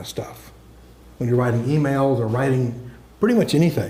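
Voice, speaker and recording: Medium pitch from a man, heard with audible room echo. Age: 70s. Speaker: software engineer giving a talk. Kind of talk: lecture. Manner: casual, conversational with fillers and repetitions.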